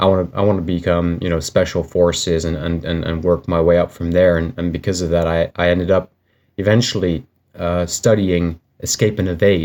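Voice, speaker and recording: The man's voice is very deep and low. He speaks fairly quickly in a monotone, flat delivery. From Finland. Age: 30s. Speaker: bladesmith. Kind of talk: casual vlog introduction. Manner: halting, many fillers and repeats.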